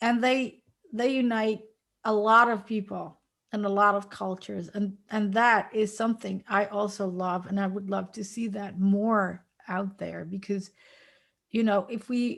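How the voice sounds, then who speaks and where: The woman's delivery is fairly slow. She keeps a flat, monotone intonation. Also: medium pitch for a woman. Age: 50s. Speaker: web designer and WordPress teacher. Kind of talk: casual chat. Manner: halting, searching for words.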